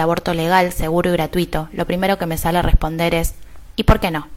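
A woman's fairly low-pitched, monotone, flat delivery at a very fast pace. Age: 30s. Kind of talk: personal testimony.

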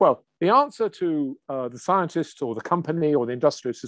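A man speaks at a moderate pace with a fairly high pitch and lively intonation, recorded with a dry, close sound and no echo. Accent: English. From England. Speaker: biochemistry professor. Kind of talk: interview conversation.

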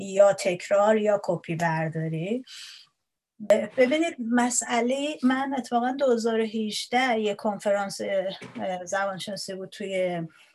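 Very slow delivery with lively intonation. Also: woman, fairly high pitch for a woman. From Iran. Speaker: Persian language lecturer. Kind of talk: interview. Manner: halting.

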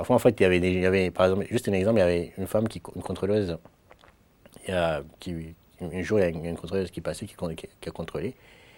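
A man with a Mayotte accent talks at a fairly quick pace in a very deep, low pitch, with ordinary pitch variation. The recording is very clean, over a silent background. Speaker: student. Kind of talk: testimony. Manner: halting.

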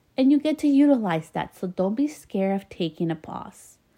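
The voice has a dark, mellow tone and very wide pitch swings. Its pace is moderate. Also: woman. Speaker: podcast host and business coach. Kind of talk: solo podcast monologue.

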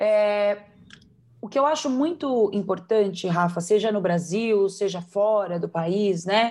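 A woman with a medium pitch and ordinary pitch variation talks very slowly. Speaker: belly dance teacher and performer. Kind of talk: interview.

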